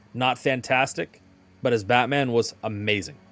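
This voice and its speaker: Music plays in the background. A man speaks at a moderate pace and medium pitch. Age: 20s. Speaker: gaming streamer. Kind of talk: casual livestream commentary. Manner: animated.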